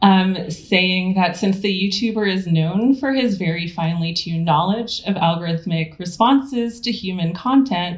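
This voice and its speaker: A woman's somewhat breathy voice at medium pitch, speaking at a moderate pace with ordinary pitch variation and hardly any pauses. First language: not English. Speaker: theorist and lecturer. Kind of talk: lecture.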